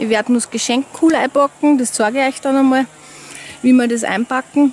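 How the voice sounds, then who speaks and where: A high-pitched woman, the sound dry with no echo over light background noise. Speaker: vlogger. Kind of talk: casual vlog chat. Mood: chatty, candid. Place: waterside. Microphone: phone near.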